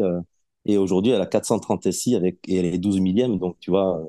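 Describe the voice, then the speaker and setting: Dark and mellow, a man's fairly low voice with a southwestern French accent sounds dry and close, with no echo. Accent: southwest French. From southwest France. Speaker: podcast guest, collector gamer. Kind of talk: interview.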